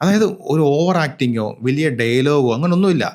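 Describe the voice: Speaking at a fairly quick pace, a man with a fairly high pitch uses lively intonation and a slightly mellow tone.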